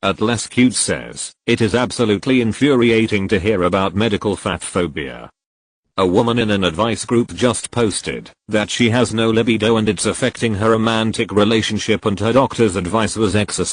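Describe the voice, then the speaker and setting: Using a put-on character voice, a man sounds robotic, speaking at a fairly quick pace with a fairly low pitch. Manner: robot voice.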